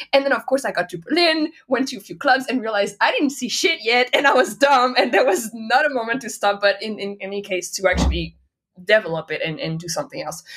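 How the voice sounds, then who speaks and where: Speaking very fast with a French accent, a woman uses a fairly high pitch. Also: lively intonation, big swings in loudness. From France, Nantes. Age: 30s. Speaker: DJ and music producer. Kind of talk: interview.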